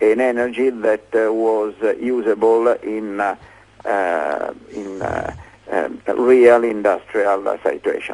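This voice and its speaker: A man with an Italian accent talks at a very slow pace and medium pitch, his intonation fairly even. Noticeable background noise is present. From Italy. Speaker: inventor. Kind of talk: interview. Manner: halting, many fillers.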